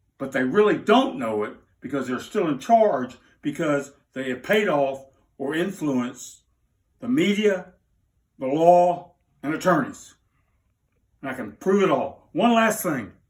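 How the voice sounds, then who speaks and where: Using very wide pitch swings, a man with a Southern US accent talks in a fairly high voice at a fairly slow pace, with long, frequent pauses. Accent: Southern US (Georgia). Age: 60s. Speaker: interviewee telling personal story. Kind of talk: unscripted personal appeal. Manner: emotional, agitated.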